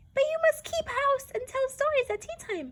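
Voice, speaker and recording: Putting on a character voice, a woman speaks at a moderate pace with an extremely high pitch that sounds shrill and squeaky. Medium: read story. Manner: bossy, wheedling.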